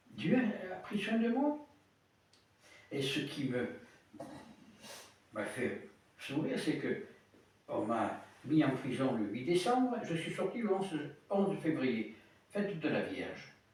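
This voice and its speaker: Over noticeable background noise and audible room echo, a man speaks very slowly in a high voice, with very wide pitch swings and long, frequent pauses. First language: Italian (speaking French). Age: 70s. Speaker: priest. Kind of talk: sermon. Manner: halting.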